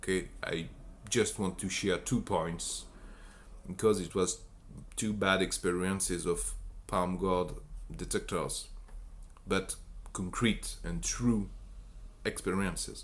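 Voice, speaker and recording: A man speaks with a strong French accent. He leaves long, frequent pauses. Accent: French accent, self-described as strong. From France. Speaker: bioinformatics researcher. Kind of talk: technical explainer talk. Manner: halting, many fillers and restarts.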